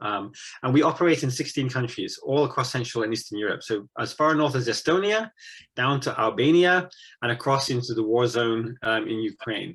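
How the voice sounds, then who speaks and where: Music plays in the background as a man speaks in an English accent. His pitch is medium, with ordinary variation. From England. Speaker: missionary. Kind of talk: interview. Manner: halting.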